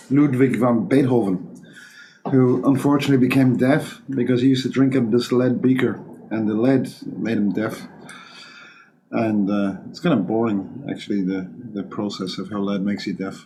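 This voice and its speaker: At a moderate pace, a man speaks at medium pitch with ordinary pitch variation and long, frequent pauses, and the room echo is audible. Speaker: molecular toxicologist, podcast host. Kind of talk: casual chat. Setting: studio.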